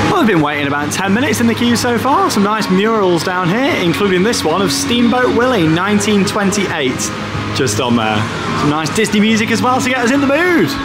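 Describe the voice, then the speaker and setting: Music plays in the background. A man talks at a fairly quick pace. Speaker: travel vlogger. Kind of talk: casual vlog chat. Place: station. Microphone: phone near.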